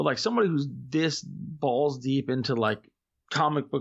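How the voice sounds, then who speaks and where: This man has a normal speaking voice, pitched fairly high. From Florida, US. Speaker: podcaster. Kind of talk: casual chat.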